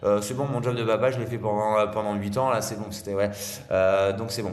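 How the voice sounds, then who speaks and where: Energetic in tone, a man talks at a fairly quick pace in a fairly low pitch, with noticeable background noise and audible room echo. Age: 40s. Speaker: father and speaker on fathers' mental health. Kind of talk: podcast interview. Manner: fast.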